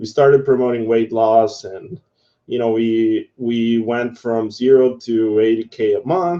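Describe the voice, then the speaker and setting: A man speaks with a Spanish accent. His pace is fairly slow and his intonation fairly even. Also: medium pitch for a man. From Guatemala. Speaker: affiliate marketer teaching online. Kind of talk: live tutorial webinar. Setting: live video broadcast. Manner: casual, halting with fillers.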